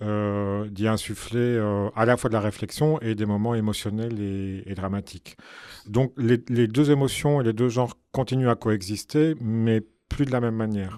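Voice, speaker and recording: The recording is very clean, with a silent background. A man with a Belgian accent speaks in a dark, mellow tone. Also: medium pitch for a man, fairly even intonation, fairly slow pace. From Belgium. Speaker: film director. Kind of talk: radio interview.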